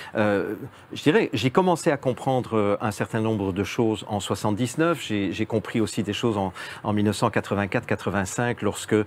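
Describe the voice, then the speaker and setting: An ordinary speaking voice from a man, fairly low-pitched, at a moderate pace with ordinary pitch variation. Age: 60s. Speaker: guest commentator on social engineering. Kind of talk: interview discussion.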